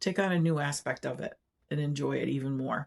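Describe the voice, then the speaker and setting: In a very clean recording with a silent background, a woman talks in a very deep, low pitch. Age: 60s. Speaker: retired quilting vlogger. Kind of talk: casual vlog talk. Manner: casual, with filler words.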